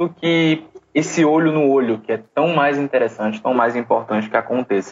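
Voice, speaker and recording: The man's intonation is lively as he talks at a moderate pace in a plain, everyday voice. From Brazil, Recife (Pernambuco). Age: 20s. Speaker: social entrepreneur and business consultant. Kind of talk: interview.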